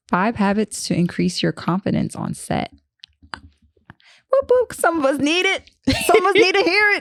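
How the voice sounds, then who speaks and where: A woman at a moderate pace, with long, frequent pauses and a dry, close sound with no echo. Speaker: podcast co-host. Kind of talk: casual chat.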